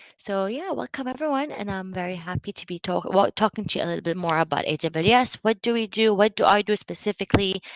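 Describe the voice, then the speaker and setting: Speech at a very fast pace with hardly any pauses swings widely in loudness, with lively intonation and a dry, close sound with no echo. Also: woman, medium pitch for a woman. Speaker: training partner manager at a cloud company. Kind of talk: online presentation.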